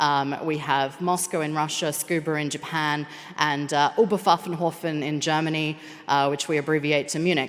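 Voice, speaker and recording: At a moderate pace, a woman with a very deep, low pitch speaks with fairly even intonation. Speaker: space operations engineer. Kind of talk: conference presentation.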